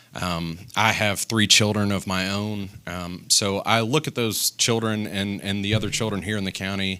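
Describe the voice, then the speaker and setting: On a very clean recording with a silent background, a man with a Tennessee accent speaks at a moderate pace in a fairly low pitch, his tone bright and sharp and his intonation monotone and flat, with hardly any pauses. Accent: Southern US (Tennessee). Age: 40s. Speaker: political candidate, business owner. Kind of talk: candidate forum. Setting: studio with audience.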